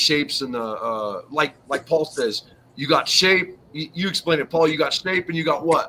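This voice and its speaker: A man with a normal speaking voice shows ordinary pitch variation and keeps a moderate pace. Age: 50s. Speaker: car customizer and YouTuber. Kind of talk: casual chat.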